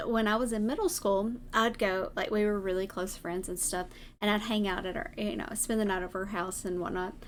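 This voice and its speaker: With a Southern US accent, a woman speaks at a fairly high pitch. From US South. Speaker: vtuber streamer. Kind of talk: casual chat. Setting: live stream.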